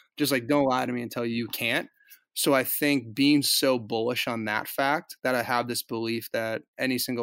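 A man's medium-pitched voice with a bright, sharp tone, flat monotone intonation and a fairly slow pace, on a very clean recording with a silent background. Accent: American. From Boston suburbs, Massachusetts. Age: 20s. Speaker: former pro hockey player, vegan cyclist activist. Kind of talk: casual interview.

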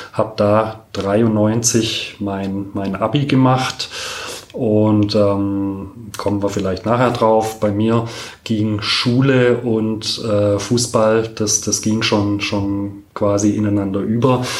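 Amid audible room echo and noticeable background noise, a man with a fairly low pitch speaks at a very slow pace in monotone, flat intonation. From Stuttgart, Germany. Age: 40s. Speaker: doctor and former goalkeeper. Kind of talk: interview. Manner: hesitant with many fillers.

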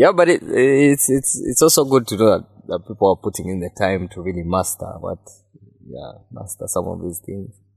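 Over background music, a man's voice swings very widely in pitch and sharply in loudness. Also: medium pitch for a man, moderate pace. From Uganda. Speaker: sound engineer. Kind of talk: casual chat.

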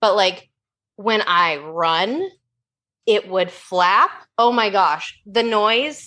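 Speaking very slowly with long, frequent pauses, a woman keeps a medium pitch, a bright, sharp tone and very even loudness. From US Pacific Northwest, Oregon. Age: 30s. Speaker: weight-loss story guest. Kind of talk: casual podcast interview.

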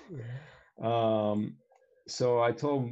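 The voice has a dark, mellow tone and a West Coast US accent. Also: man. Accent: General American, West Coast. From US, Northern California (Bay Area). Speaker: semiconductor equipment industry worker, frequent business traveler. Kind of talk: casual chat.

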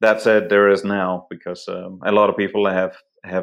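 A man speaks with a Danish accent at fairly low pitch. His intonation is monotone and flat. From Denmark. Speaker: photographer and hunter. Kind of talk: casual interview conversation. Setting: remote call.

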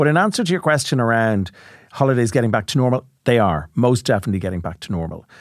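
On a very clean recording with a silent background, a man of medium pitch speaks at a very fast pace with an Irish accent and very wide pitch swings. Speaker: travel company chief executive and podcast co-host. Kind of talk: casual chat.

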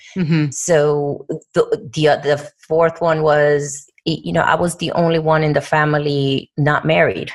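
A woman's very deep, low voice with a Puerto Rican accent, monotone, flat intonation and a fairly slow pace. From Puerto Rico. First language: Spanish. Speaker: corporate diversity executive. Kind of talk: interview.

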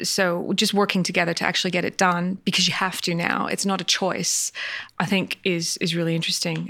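A woman with a fairly low pitch speaks fairly quickly in a flat monotone, her loudness very even throughout. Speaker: podcast host. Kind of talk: interview.

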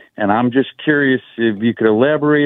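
A man with an American accent uses an ordinary speaking voice at a medium pitch with fairly even intonation. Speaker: caller. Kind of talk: radio call-in. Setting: phone call.

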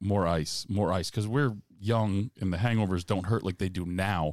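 In a plain, everyday voice, a man with a fairly low pitch and ordinary pitch variation talks at a moderate pace, the sound dry and close with no echo on a very clean recording with a silent background. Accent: American. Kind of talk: casual chat.

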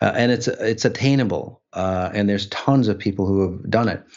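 A man with a plain, everyday voice talks with ordinary pitch variation at a moderate pace. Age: 60s. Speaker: spiritual healer. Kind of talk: casual chat.

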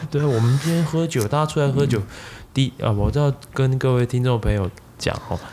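A man speaks fairly quickly in a medium pitch, his dark, mellow tone somewhat breathy, with ordinary pitch variation and very even loudness. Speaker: tech marketing product manager. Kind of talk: casual chat. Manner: animated.

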